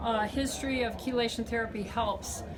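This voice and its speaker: Over noticeable background noise and audible room echo, a woman speaks at a moderate pace with a fairly high pitch. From Southern California. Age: 60s. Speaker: physician. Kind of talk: interview talk. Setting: medical conference. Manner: hesitant with many fillers.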